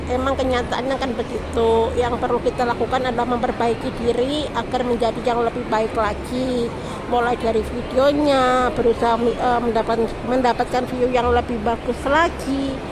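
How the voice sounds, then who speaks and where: A woman speaks in a high, monotone voice at a moderate pace with hardly any pauses and very even loudness, over noticeable background noise and audible room echo. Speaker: migrant domestic worker and beginner vlogger. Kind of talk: casual vlog monologue. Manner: loud, raised to beat the music; rambling, jumps between topics.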